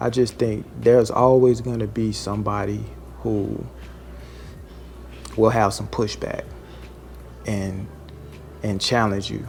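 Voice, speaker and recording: A man's voice with long, frequent pauses and music in the background. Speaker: food service truck driver, vlogger. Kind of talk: casual vlog monologue. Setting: at a delivery stop near a lobby.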